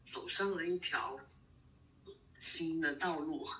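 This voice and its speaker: The words come out very slowly, with noticeable noise behind them. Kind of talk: casual chat. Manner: halting, many fillers and repeats.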